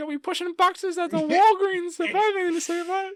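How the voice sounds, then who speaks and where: In a put-on character voice, the speaker races along at a very fast pace with an extremely high pitch. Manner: menacing, domineering studio boss.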